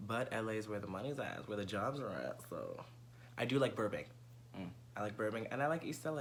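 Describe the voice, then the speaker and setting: A man with an American accent speaks at a medium pitch and a moderate pace, with ordinary pitch variation and vocal fry. His tone is bright and sharp, and the room echo is audible. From New York City (Bronx). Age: 20s. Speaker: presenter auditioning as co-host. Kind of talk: audition video monologue.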